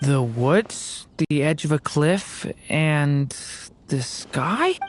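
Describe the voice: A woman performs a put-on character voice at a very slow pace. Her pitch sits low, and her intonation is lively.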